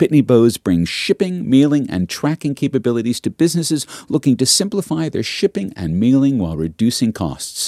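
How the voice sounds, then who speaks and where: Very wide pitch swings from a man with an Australian accent, medium pitch, a fairly quick pace and hardly any pauses, on a very clean recording with a silent background. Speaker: podcast host. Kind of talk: read advertisement; scripted narration. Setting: studio.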